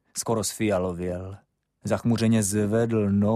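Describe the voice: The background is quiet. The speaker is plain reading aloud with fairly even intonation.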